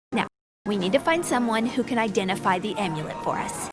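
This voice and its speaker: A put-on character voice sounds female, with a medium pitch. The pace is fairly quick. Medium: machinima.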